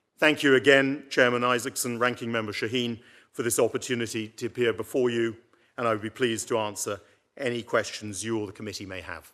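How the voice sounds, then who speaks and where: A bright, sharp tone and fairly even intonation mark this very fast speech, set against a quiet background. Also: man, medium pitch for a man. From United Kingdom. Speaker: banker, nominee for IMF director. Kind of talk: confirmation hearing opening statement and Q&A.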